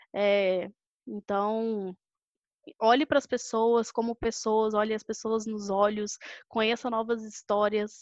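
A woman talks very slowly at a fairly high pitch in a monotone, flat intonation. The sound is dry and close with no echo, over a quiet background. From Brazil, Belo Horizonte (Minas Gerais). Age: 20s. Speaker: sales director. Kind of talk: casual interview.

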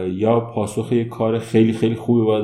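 A man at medium pitch, very fast pace, with audible room echo. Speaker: human resources manager. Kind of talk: interview.

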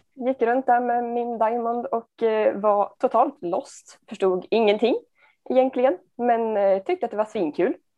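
A woman with a plain, everyday voice speaks at a fairly high pitch. Her pace is fairly slow, and her pitch variation is ordinary. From Sundsvall, Sweden. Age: 20s. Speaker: amateur disc golfer and nursing student. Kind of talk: interview.

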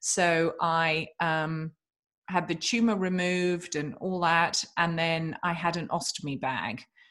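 A woman with a British accent and a fairly low voice speaks very slowly, her pitch varying in an ordinary way against a quiet background. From England. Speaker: author and podcast host. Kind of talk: interview, casual chat.

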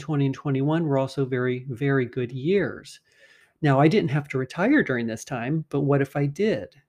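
An unremarkable speaking voice talks at a moderate pace over a quiet background. Its pitch varies in an ordinary way. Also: man. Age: 50s. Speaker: personal finance podcast host. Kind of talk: solo podcast monologue explaining finance. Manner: conversational.

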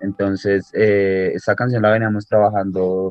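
Fairly low male voice with monotone, flat intonation. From Colombia, Bogotá. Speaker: musician. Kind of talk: casual interview.

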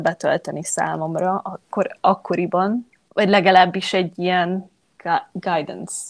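At a medium pitch, a woman speaks at a fairly slow pace. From Hungary. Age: 20s. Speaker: yoga teacher. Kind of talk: interview. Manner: halting, many repeated words.

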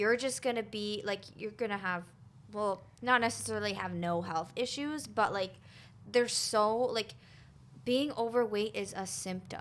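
This woman has a plain, everyday voice at a fairly high pitch. She keeps a moderate pace with ordinary pitch variation. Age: 20s. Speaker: wellness podcast host. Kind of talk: casual interview chat.

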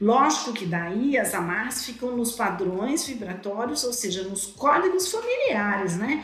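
Over noticeable background noise and audible room echo, a woman with a fairly high pitch talks at a fairly slow pace, using lively intonation and hardly any pauses. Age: 50s. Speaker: therapist and author. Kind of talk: interview.

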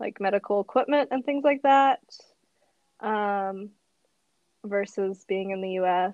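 A woman with an American accent speaks at a fairly slow pace and medium pitch, with ordinary pitch variation and long, frequent pauses. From US Midwest, Madison, Wisconsin. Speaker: English teacher. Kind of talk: casual chat.

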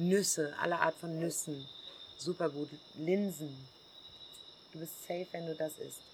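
With a fairly low pitch and flat, monotone intonation, a woman speaks at a fairly slow pace broken by long, frequent pauses. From Germany. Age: 40s. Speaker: hostel owner. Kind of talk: casual interview. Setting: outdoors in the jungle.

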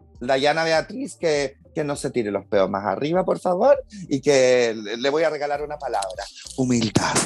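Over noticeable background noise, a man with a Chilean accent speaks at a fairly high pitch with lively intonation. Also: moderate pace. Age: 40s. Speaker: actor and TV host. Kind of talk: casual chat.

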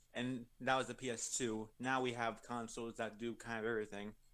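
Using an unremarkable speaking voice, a man talks at a fairly quick pace with a medium pitch and fairly even intonation. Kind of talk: casual banter with co-host, joking back and forth.

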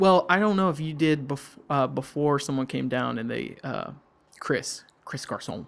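With a Southern US accent, a man talks at a moderate pace in a fairly high pitch with ordinary pitch variation. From US South, Georgia. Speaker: middle school worker. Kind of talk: casual chat.

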